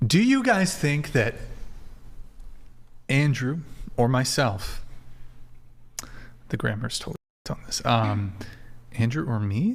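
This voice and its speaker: Speaking at a fairly slow pace, a man with a medium pitch and a somewhat breathy voice makes very wide pitch swings and leaves long, frequent pauses. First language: French. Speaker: podcast host. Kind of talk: casual panel chat.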